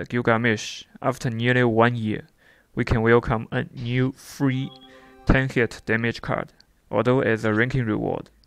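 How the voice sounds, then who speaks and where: Music plays in the background as a man with a non-native accent speaks at medium pitch. His pace is moderate and his intonation fairly even. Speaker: mobile game reviewer. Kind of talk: game event review narration.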